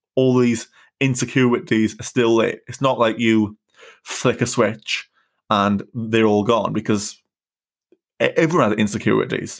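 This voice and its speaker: Recorded very cleanly over a silent background, the speech comes at a fairly slow pace in a Welsh accent, with fairly even intonation and long, frequent pauses. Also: man, medium pitch for a man. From South Wales. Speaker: stuttering activist and podcaster. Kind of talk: casual interview. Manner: halting, stutters at times.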